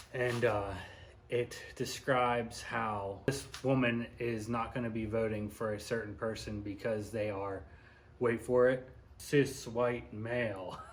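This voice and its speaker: Amid audible room echo, a man mumbles at a very slow pace in a somewhat breathy, medium-pitched voice, his intonation fairly even. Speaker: YouTuber, commentary vlogger. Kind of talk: casual commentary monologue. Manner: mumbly.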